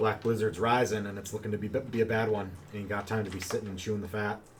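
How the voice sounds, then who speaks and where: A man's put-on character voice, raspy and rumbling, fairly low in pitch, with monotone, flat intonation at a very fast pace over clear background noise. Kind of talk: rough, rural. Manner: grumbling.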